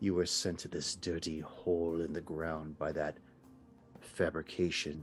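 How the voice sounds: A man puts on a hissing, menacing character voice at a very deep, low pitch while music plays clearly in the background.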